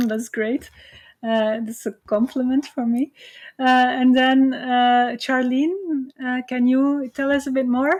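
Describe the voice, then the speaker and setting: Talking at a very slow pace, a woman with a Flemish accent speaks in a high voice with fairly even intonation. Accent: Flemish Belgian English. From Belgium. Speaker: university lecturer. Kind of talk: online lecture. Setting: video call. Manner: hesitant, many fillers.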